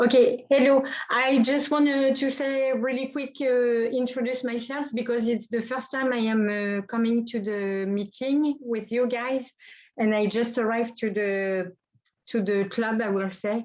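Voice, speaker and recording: A woman with a French accent speaks at a fairly slow pace in a high voice, her intonation fairly even. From France. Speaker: new photography club member. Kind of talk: self-introduction. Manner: halting, searching for words.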